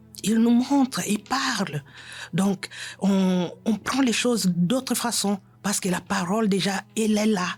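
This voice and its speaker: The speech is very slow and somewhat breathy. Loudness stays very even, with ordinary pitch variation. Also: woman, medium pitch for a woman. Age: 60s. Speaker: church member giving testimony. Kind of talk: testimony. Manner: halting.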